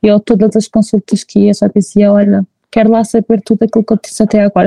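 This woman talks at a fairly quick pace in a fairly high pitch, her tone dark and mellow and somewhat breathy, with a dry, close sound and no echo. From Portugal, Figueira da Foz. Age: 20s. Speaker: mother telling her birth stories. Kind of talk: testimony in casual chat. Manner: animated.

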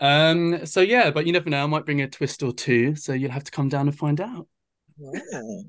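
A man with a plain, everyday voice and fairly high pitch talks at a moderate pace, with ordinary pitch variation. The background is quiet. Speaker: drag performer. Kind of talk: radio interview.

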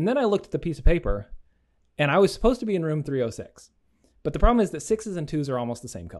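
A man with an American accent makes very wide pitch swings against a quiet background. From Oklahoma. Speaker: podcaster. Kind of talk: casual chat.

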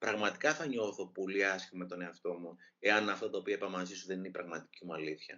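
Ordinary pitch variation at a fairly quick pace. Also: man, fairly low pitch for a man. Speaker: author. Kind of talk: interview. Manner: fast.

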